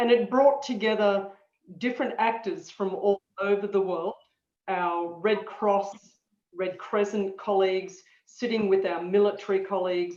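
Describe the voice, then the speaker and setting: A woman's medium-pitched voice with an Australian accent, fairly even intonation and a fairly slow pace, with audible room echo. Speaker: disaster management expert, guest lecturer. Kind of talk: lecture. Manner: halting, many fillers.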